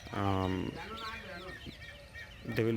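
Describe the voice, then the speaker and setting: With a Gujarati accent, a man speaks very slowly in a monotone, flat way amid noticeable background noise. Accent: Indian English (Gujarati). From Gujarat, India. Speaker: tech educator. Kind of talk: casual vlog talk to camera. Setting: outdoors.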